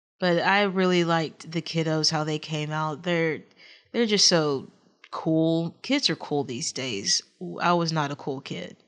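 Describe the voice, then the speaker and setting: A woman with a Texas accent talks at a fairly low pitch and a fairly slow pace, with ordinary pitch variation. The background is quiet. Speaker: gaming YouTuber. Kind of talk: game commentary. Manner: halting.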